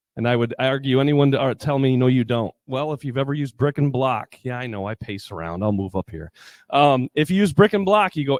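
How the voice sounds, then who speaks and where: A man talks at a fairly quick pace and medium pitch with an energetic tone. His intonation is lively. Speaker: building designer. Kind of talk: conference presentation. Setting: stage with audience. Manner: fast.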